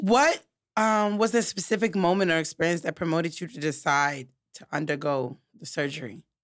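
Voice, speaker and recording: Recorded very cleanly with a silent background, a woman with an American accent has a plain, everyday voice, fairly low in pitch. She talks at a fairly quick pace with lively intonation and big swings in loudness. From New York. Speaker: podcast host. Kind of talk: interview.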